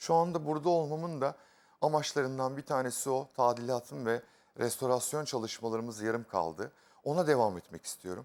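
A man speaks in a plain, everyday voice at medium pitch. He goes at a fairly quick pace with lively intonation. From Aegean Turkey, İzmir. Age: 40s. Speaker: contestant, artist. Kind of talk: casual chat, game show. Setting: studio.

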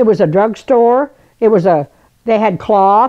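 Against a quiet background, a woman speaks with lively intonation and a dark, mellow tone. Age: 80s+. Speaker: elderly woman sharing memories. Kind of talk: personal storytelling. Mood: warm, nostalgic storytelling. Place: home room.

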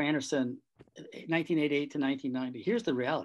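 A man with an American accent at a fairly high pitch, fairly slow pace, and ordinary pitch variation, over light background noise. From Michigan, Ann Arbor; Michigan. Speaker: law professor. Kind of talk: webinar discussion. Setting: video call. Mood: earnest, emphatic. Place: home room. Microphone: webcam.

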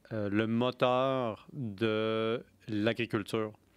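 A man speaks. The sound is dry, with no echo. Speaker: podcast host on beer history and philosophy; podcast host on beer history. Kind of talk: casual chat. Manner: animated. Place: studio. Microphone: studio mic.

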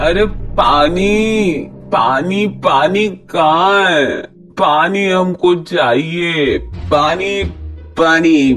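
A man's put-on character voice, high-pitched and very slow, over clear background music. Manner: muttering, rambling, demanding water.

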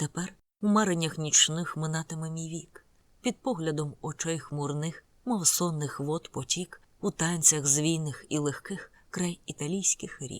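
At a fairly slow pace, the voice comes through dry and close with no echo on a very clean recording with a silent background. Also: woman. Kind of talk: audiobook narration. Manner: solemn, dramatic, slow measured reading with gloomy gothic intensity.

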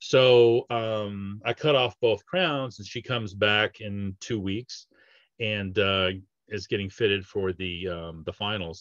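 A man's fairly low voice, slow in pace, with a fairly bright tone and fairly even intonation.

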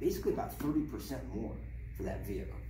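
A man talks while noticeable background noise carries on. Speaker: car salesman. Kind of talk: sales role-play training. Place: shop. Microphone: camera far.

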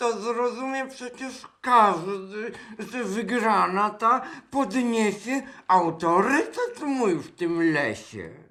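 In a put-on character voice, the speaker uses a whiny tone and fairly high pitch at a fairly slow pace. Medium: audio drama. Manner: whiny, excuse-making.

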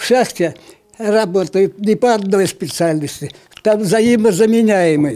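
Using ordinary pitch variation, a man speaks very slowly in a high voice. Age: 80s+. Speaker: retired miner, war-era generation veteran of mining plant. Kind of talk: interview answer. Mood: cheerful, reminiscing. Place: meeting room. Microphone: handheld.

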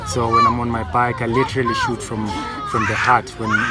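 A man talks at a fairly quick pace, and the sound is dry with no echo. Loud music plays in the background. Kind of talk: interview answer. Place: garden.

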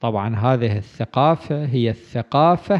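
The background is quiet while a man talks at a very slow pace. His pitch shows ordinary variation. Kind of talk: religious lecture. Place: home room.

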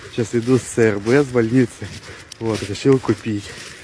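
A man is speaking amid noticeable background noise. The sound is dry, with no echo. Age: 20s. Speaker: vlogger, father of five, odd-job worker; vlogger. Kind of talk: casual vlog to camera. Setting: outdoors, walking to shop. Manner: casual, colloquial. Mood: cheerful. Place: street. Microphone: phone near.

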